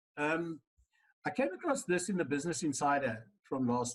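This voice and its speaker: Somewhat breathy and fairly high, a man's voice swings very widely in pitch. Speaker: lecturer. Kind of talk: lecture.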